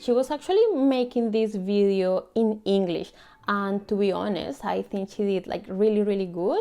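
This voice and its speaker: Against music in the background, a woman with a Colombian accent speaks at a moderate pace in a medium pitch with fairly even intonation. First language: Spanish. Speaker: YouTuber. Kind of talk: casual vlog talk. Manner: informal, filler-heavy.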